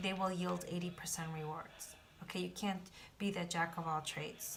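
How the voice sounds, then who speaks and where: With audible room echo, a woman with a fairly low pitch speaks at a moderate pace in a somewhat breathy, monotone, flat way. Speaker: tarot reader. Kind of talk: tarot reading.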